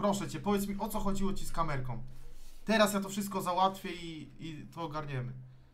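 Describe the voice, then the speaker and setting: Shouting in a furious tone, a man speaks very fast at a high pitch with ordinary pitch variation. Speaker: streamer playing FIFA. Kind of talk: angry rant. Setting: live stream while gaming. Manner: furious, swearing, exasperated, shouting. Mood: frustrated, angry outbursts. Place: home room.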